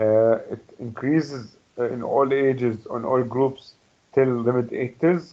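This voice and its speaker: In an Arabic accent, a man speaks at a medium pitch with fairly even intonation. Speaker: medical lecturer. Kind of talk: lecture. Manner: halting with many fillers.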